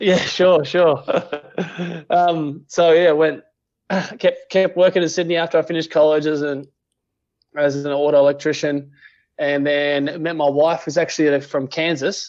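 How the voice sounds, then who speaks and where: With an Australian accent, a man speaks at a fairly high pitch in a monotone, flat intonation, with long, frequent pauses. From Western Australia, country town. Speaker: auto electrician, podcast guest. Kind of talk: casual interview chat. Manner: fast, slightly slurred.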